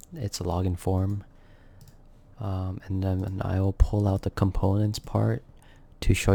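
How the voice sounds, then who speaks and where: In a very clean recording with a silent background, a man speaks quietly and fairly slowly, his dark, mellow voice somewhat breathy. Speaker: software developer vlogger. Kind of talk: coding tutorial walkthrough. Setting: home recording at night. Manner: quiet, kept down; subdued, solemn.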